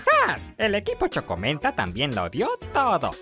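The speaker uses a put-on character voice. Faint music plays in the background. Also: moderate pace. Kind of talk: video game fan dub dialogue. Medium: dub.

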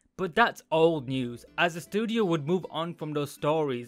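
A man speaks at a moderate pace while faint music sits in the background. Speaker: anime reviewer. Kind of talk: casual commentary. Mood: joking, playful.

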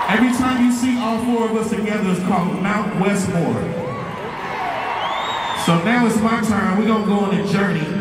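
Music plays in the background and the room echo is audible as a man speaks at a moderate pace with long, frequent pauses. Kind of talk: stage banter to crowd. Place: stage.

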